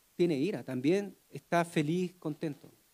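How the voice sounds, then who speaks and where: A man talks at a fairly slow pace with a dark, mellow tone and ordinary pitch variation. The sound is dry and close, with no echo. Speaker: preacher. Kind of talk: sermon. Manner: soft-spoken.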